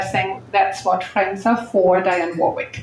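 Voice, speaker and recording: Noticeable background noise behind a woman at a moderate pace, with ordinary pitch variation. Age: 60s. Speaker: real estate investor and speaker. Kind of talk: panel talk at live event.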